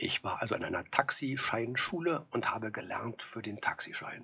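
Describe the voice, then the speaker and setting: Whispering, a man speaks at a moderate pace. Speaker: actor. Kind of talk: storytelling monologue.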